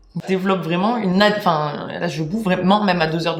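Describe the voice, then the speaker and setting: An animated, fairly quick delivery with ordinary pitch variation, audible room echo and noticeable background noise. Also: woman. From France. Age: 20s. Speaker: YouTuber. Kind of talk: casual storytelling.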